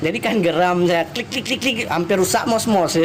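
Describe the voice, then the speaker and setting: A man speaks with an Aceh accent at a high pitch, with noticeable background noise. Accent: Acehnese. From Aceh, Indonesia. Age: 30s. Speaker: police officer. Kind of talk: live stream chat.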